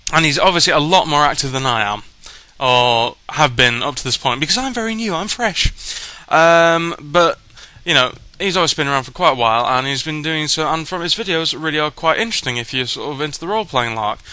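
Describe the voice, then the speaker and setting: A man's fairly high voice in a British accent, with lively intonation. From Britain. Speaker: YouTube vlogger. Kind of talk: casual vlog. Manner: hesitant, many fillers.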